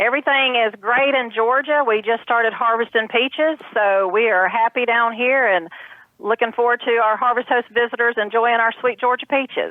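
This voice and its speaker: With a Southern US accent, a woman talks at a moderate pace and a fairly high pitch. Her intonation is fairly even and her loudness very even. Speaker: farm representative. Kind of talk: interview.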